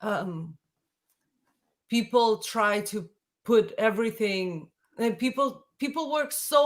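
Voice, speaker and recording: In a Russian accent, a woman with a fairly high voice speaks very slowly and with lively intonation, on a very clean recording with a silent background. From Latvia. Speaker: folk singer. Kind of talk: casual chat.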